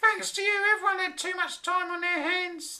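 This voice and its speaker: Someone uses a squeaky put-on character voice at an extremely high pitch and a moderate pace. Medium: read story. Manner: scolding, sarcastic.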